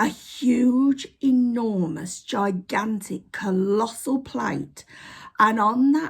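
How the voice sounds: The pitch varies in an ordinary way. The delivery is a natural reading voice.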